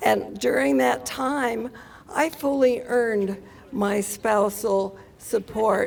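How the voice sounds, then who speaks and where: A woman with a fairly high voice speaks at a very slow pace, with very wide pitch swings and very even loudness. Noticeable background noise is present. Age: 70s. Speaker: retired teacher. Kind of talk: rally speech.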